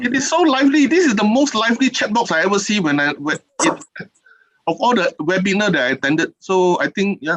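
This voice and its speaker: A high-pitched man in a Singaporean accent, fairly quick, with very wide pitch swings and very even loudness, in a dry, close sound with no echo. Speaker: keynote speaker, regional official. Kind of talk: keynote address. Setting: online webinar. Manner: fast.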